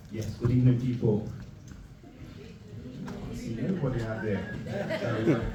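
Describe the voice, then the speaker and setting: Against noticeable background noise, a man with a medium pitch and ordinary pitch variation speaks at a moderate pace with long, frequent pauses. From Nottingham, England. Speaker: spoken word poet. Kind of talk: live spoken word poetry performance.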